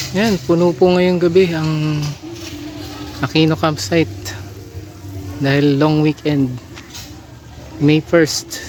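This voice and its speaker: A man's fairly high voice at a very slow pace, with long, frequent pauses over noticeable background noise. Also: ordinary pitch variation. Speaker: family travel vlogger. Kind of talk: vlog narration. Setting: outdoors at campsite. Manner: soft-spoken.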